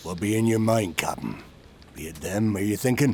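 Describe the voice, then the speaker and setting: A man puts on a character voice with a fairly low pitch. Clear background noise runs underneath. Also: moderate pace. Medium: audio drama. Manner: rough, dialect speech.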